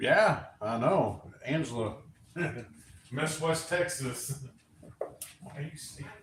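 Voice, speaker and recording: A man with an American accent and a fairly high pitch speaks very slowly with long, frequent pauses, big swings in loudness and ordinary pitch variation, in a room with audible echo and noticeable background noise. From Oregon. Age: 40s. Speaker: livestream co-host. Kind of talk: casual chat. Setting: live stream at home.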